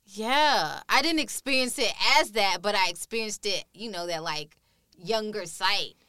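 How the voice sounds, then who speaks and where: Her tone is bright and sharp. The woman talks at a moderate pace with lively intonation. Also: medium pitch for a woman, dry, close sound with no echo. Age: 30s. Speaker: curator and artist. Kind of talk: interview. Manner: halting.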